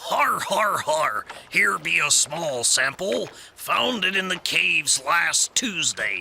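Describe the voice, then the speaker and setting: Someone puts on a character voice at a fairly slow pace, with clear background noise. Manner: gruff, laughing.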